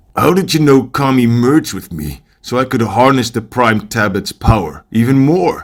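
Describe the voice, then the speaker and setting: A man in a put-on character voice talks with hardly any pauses, his pitch medium and his intonation lively. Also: moderate pace. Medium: machinima. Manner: blunt, gruff.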